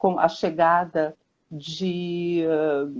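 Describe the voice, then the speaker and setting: A woman's voice at a fairly low pitch. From Brazil, Rio de Janeiro. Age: 60s. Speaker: children's book author. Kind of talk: interview on a live stream. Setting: Instagram live video call.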